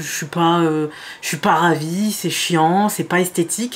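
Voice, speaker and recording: The woman's pace is fairly slow. Her pitch moves in an ordinary way. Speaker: beauty youtuber. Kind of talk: makeup tutorial. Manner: hesitant, many fillers.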